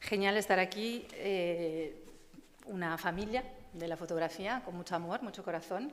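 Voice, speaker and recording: With audible room echo around her, a woman speaks slowly, at a fairly slow pace, in an Italian accent. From Italy. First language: Italian (speaking Spanish). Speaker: photography curator. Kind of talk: conference talk. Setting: stage with audience. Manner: halting.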